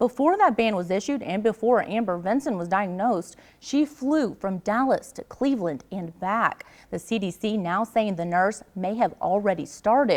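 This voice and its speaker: Lively in intonation, a woman's unremarkable speaking voice moves at a moderate pace with a medium pitch. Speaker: television news anchor and reporter. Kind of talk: TV news anchor delivery.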